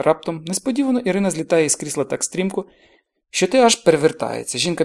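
Quiet surroundings, plain reading aloud, intonation full of life

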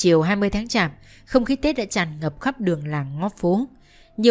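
The intonation is lively during this plain reading aloud.

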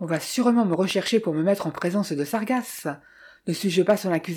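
The voice heard here is a natural reading voice.

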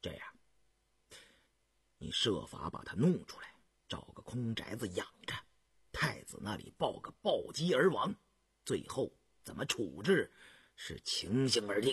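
A man puts on a character voice, fairly low-pitched with a husky, rough edge and big pitch swings. He goes at a fairly slow pace with long, frequent pauses.

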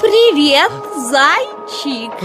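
A woman's high-pitched put-on character voice, very slow, with big pitch swings and clear music in the background.

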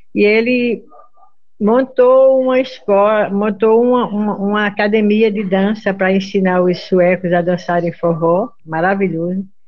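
At a fairly slow pace, a woman speaks at a medium pitch with ordinary pitch variation. She talks in a Pernambuco sertão accent. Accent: Pernambuco sertanejo Northeastern Brazilian. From Brazilian Northeast, Salgueiro, Pernambuco sertão. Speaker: accordionist and singer. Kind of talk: interview. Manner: halting, repeats words.

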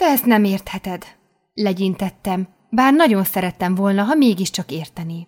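Behind the speaker, the background is quiet. The delivery is a natural reading voice.

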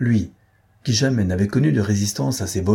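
Aloud reading, plain, with pitch that varies in an ordinary way

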